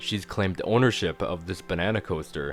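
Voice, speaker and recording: Over music in the background, a man talks at a moderate pace in a very deep, low voice with ordinary pitch variation. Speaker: video reviewer. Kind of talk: casual talk to camera. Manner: enthusiastic.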